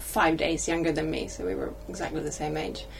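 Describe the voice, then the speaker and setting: Recorded with audible room echo and noticeable background noise, a woman is speaking. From Sweden. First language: Swedish. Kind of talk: casual chat. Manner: halting.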